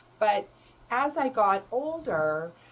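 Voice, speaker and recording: Over noticeable background noise, a woman with a fairly high pitch speaks in very wide pitch swings. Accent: Canadian. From Canada. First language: German. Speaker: self-love coach and spiritual mentor. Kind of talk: personal advice talk to camera.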